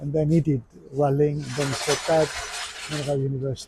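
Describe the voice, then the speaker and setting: Speaking at a fairly quick pace with a Greek Cypriot accent, a man keeps a fairly high pitch and fairly even intonation against noticeable background noise. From Cyprus. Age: 60s. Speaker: amateur rally driver. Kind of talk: casual interview.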